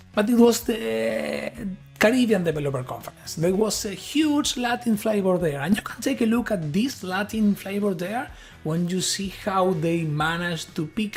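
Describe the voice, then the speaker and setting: A high-pitched man with an Argentine accent, moderate pace and very wide pitch swings, with music in the background. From Argentina. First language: Spanish. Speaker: tech innovation lead. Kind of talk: conference talk.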